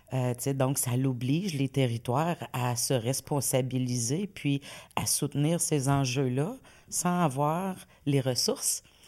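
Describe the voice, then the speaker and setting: A woman speaks in a Quebec accent, her pitch very deep and low with ordinary variation. Her loudness stays very even, and she talks at a very slow pace. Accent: Québécois French. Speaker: community organization director. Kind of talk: casual interview. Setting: studio with camera.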